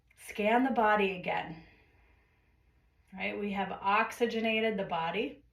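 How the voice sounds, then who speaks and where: At a fairly slow pace and in a calm tone, a woman speaks at a medium pitch, her voice somewhat breathy, with audible room echo around it. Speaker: yoga teacher. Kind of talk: guided yoga class.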